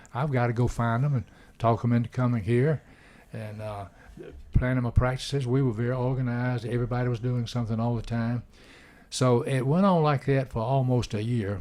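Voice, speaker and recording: In an Alabama accent, a man talks fairly quickly at a medium pitch with fairly even intonation, on a very clean recording with a silent background. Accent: Southern US (Alabama). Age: 80s+. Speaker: retired baseball coach. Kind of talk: casual chat. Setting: radio studio.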